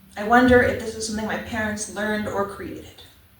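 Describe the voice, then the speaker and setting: Soft-spoken and fairly high-pitched, a woman with an American accent talks in a flat monotone amid audible room echo and noticeable background noise. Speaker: poet. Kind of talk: poetry reading. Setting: church open mic with audience.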